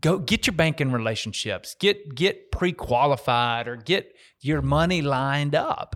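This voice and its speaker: In a very clean recording with a silent background, a man speaks with a normal speaking voice, fairly high in pitch and fairly slow in pace. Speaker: real estate investor and banker. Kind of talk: casual chat.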